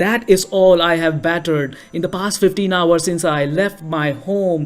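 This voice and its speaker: A man with an Indian accent speaks at a moderate pace in a high pitch. Music plays in the background. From India, New Delhi. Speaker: storyteller. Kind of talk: storytelling performance.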